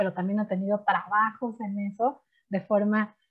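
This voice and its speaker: A woman with a Mexican accent at a moderate pace. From Mexico. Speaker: chemist and science teacher. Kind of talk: interview.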